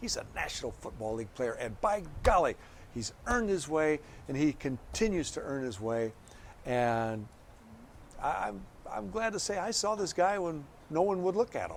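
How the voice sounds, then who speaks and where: A man speaks with very wide pitch swings. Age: 60s. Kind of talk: interview. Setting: press box.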